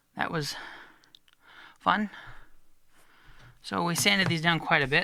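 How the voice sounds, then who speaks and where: Speaking at a fairly slow pace, a man has a high pitch. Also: lively intonation. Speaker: luthier. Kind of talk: tutorial. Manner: casual.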